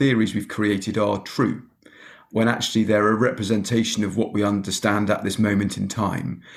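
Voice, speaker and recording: The speaker is a man. His pitch sits fairly low. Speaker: podcast host. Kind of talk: podcast interview conversation.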